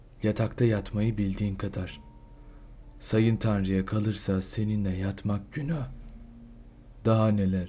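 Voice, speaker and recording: A man speaks at a very slow pace with long, frequent pauses. His fairly low, somewhat breathy voice keeps a fairly even intonation. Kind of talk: poetry reading.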